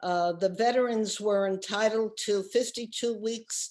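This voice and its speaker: A woman with an American accent at a very slow pace. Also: quiet background. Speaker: oral history interviewee. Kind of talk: oral history testimony.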